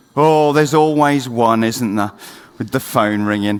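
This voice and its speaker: A man with a British accent at a fairly slow pace. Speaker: conference speaker, marketing agency founder. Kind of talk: conference talk. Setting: stage with audience. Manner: speeding up against the clock.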